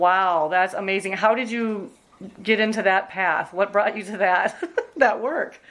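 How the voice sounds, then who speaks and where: A woman with an American accent has a normal speaking voice at a medium pitch. She speaks at a fairly slow pace with ordinary pitch variation. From Minnesota, US Midwest. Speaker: oral history interviewer. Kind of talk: oral history interview.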